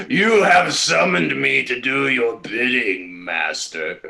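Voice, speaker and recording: Here a man puts on a character voice at medium pitch. He speaks at a fairly slow pace. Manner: servile, mock-ominous.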